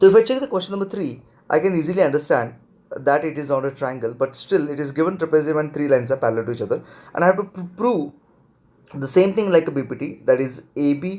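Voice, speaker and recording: Lively intonation marks a man's fairly high pitch as he speaks with an Indian accent. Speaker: math teacher. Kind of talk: lecture.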